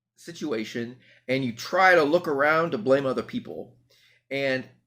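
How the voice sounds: The delivery is a natural reading voice. Pitch varies in an ordinary way.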